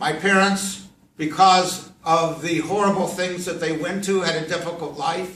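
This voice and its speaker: In a room with audible echo, a man talks at a fairly slow pace with a high pitch and fairly even intonation. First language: Yiddish. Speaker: professor and rabbi. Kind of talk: classroom talk to students.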